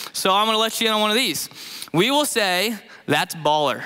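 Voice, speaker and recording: Here a man talks at a fairly quick pace in a raised, projected voice. His pitch variation is ordinary. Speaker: youth pastor preaching. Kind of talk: sermon. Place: stage. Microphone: headset.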